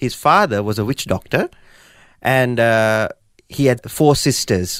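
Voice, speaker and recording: A man with a Sri Lankan accent at a medium pitch and moderate pace, with ordinary pitch variation, on a very clean recording over a silent background. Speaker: guest sharing life story. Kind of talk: testimony. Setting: studio.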